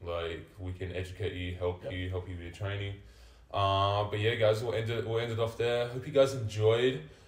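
Audible room echo surrounds a man with an Australian accent and a fairly low pitch. He talks at a moderate pace with ordinary pitch variation. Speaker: vertical jump coach. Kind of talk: casual chat.

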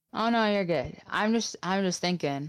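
A woman speaks in an ordinary speaking voice with an American accent. Her pace is moderate and her intonation lively. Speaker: podcast co-host. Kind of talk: casual chat.

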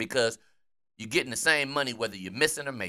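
Using an American accent, a man speaks at a medium pitch with a bright, sharp tone and lively intonation. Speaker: sports podcast host.

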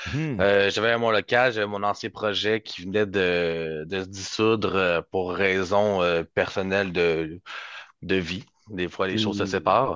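A man talks at a fairly low pitch and a very slow pace. The background is quiet. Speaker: rhythm guitarist. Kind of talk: casual interview.

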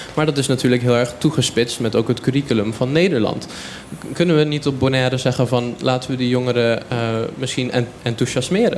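Against noticeable background noise, a man speaks at a fairly quick pace and medium pitch with very even loudness. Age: young. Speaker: student. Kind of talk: radio interview. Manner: enthusiastic.

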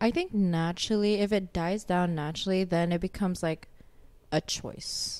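A woman speaks at a moderate pace with fairly even intonation and medium pitch, an ordinary speaking voice. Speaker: guest. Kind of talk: casual chat.

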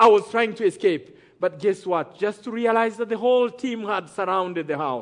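At a moderate pace, a man with a high pitch takes an animated, dramatic tone with ordinary pitch variation. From Rwanda. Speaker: testimony speaker, genocide survivor. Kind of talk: testimony storytelling to a live church audience. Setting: stage with audience. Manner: animated, dramatic, builds suspense with rhetorical questions; preacher-like, audience call-and-response.

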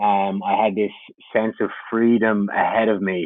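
At a moderate pace, a man with an Irish accent talks in a fairly low pitch and a monotone, flat intonation. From Ireland. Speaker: camp counselor. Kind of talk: casual interview.

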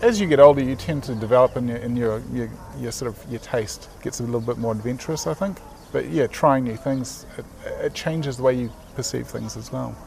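A man with a New Zealand accent speaks at a fairly quick pace over noticeable background noise. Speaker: graphic designer and artist. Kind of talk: casual interview. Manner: halting.

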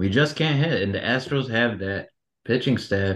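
Against a quiet background, a man with an American accent speaks at a medium pitch and a moderate pace. He has a plain, everyday voice with ordinary pitch variation. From Detroit, Michigan. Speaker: baseball fan. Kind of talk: casual chat.

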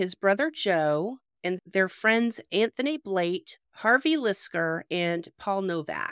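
A plain, everyday voice with lively intonation and a dry, close sound with no echo. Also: woman. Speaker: true crime podcast host. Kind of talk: casual podcast interview and storytelling. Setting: remote call with guests in different time zones.

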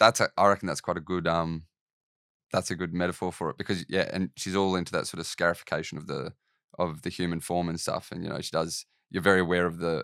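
A man's very deep, low voice in an Australian accent, fairly quick and monotone with flat intonation, dry and close with no echo, on a very clean recording with a silent background. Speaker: podcast host and painter. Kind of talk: interview. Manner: hesitant, many fillers.

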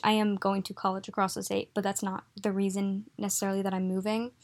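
A woman talks at a fairly quick pace. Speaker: podcast host. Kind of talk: casual monologue. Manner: rambling, filler-heavy.

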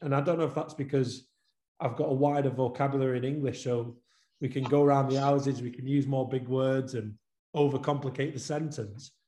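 A man speaks at a fairly high pitch. His tone is dark and mellow, and somewhat breathy. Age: 30s. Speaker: football coach developer. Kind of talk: webinar interview. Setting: video call.

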